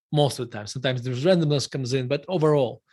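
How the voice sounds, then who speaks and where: A man with a Russian accent speaks at a fairly high pitch with ordinary pitch variation. The background is quiet. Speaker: value investor, fund manager. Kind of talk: interview. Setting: live stream interview.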